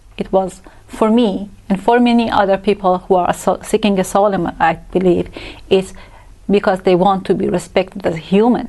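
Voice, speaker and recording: A woman's medium-pitched voice with a Persian accent, dark and mellow in tone, monotone and flat, at a moderate pace. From Iran, Tehran. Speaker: asylum seeker, translator. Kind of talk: interview.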